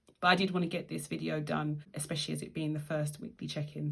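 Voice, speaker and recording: With a British accent and vocal fry, a woman speaks at a very deep, low pitch. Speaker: budgeting vlogger. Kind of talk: tutorial. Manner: casual.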